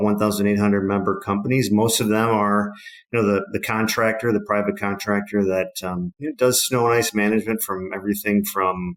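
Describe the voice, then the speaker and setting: Someone with a Wisconsin accent speaks at a fairly quick pace in a monotone, flat intonation. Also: man. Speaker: trade association CEO. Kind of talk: podcast interview. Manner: casual, many fillers.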